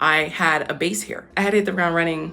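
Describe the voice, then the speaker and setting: Over music in the background and audible room echo, a woman speaks at a moderate pace. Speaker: actor and comedian vlogger. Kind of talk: casual vlog talk to camera. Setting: apartment, self-filmed. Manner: animated.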